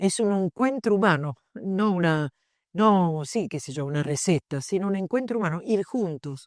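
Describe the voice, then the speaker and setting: A woman with an unremarkable speaking voice, fairly low in pitch, with lively intonation at a moderate pace, in a very clean recording with a silent background and a dry, close sound with no echo. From southern Italy. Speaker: philosophy professor. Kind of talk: panel discussion at book launch.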